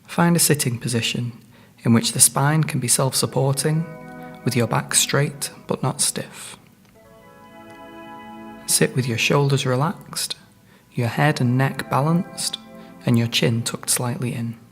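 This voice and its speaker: Over music in the background, a man talks at a fairly slow pace in a medium pitch, with ordinary pitch variation and long, frequent pauses. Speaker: mindfulness guide. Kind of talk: guided mindfulness meditation.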